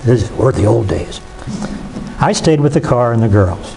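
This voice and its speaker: The intonation is lively. There is audible room echo and noticeable background noise. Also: man. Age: 70s. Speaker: retired pastor. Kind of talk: lecture.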